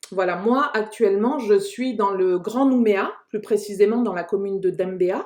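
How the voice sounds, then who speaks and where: A woman talks at a fairly slow pace in a plain, everyday voice. Her pitch is medium, with ordinary pitch variation. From New Caledonia, Kanak, Lifou. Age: 30s. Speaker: podcast host. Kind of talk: casual discussion.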